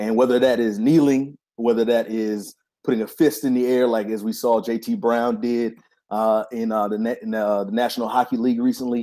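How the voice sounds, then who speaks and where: A man with a dark, mellow tone talks at a fairly quick pace with fairly even intonation. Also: medium pitch for a man. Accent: American. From North Carolina. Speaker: graduate student in education policy. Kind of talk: casual political round table.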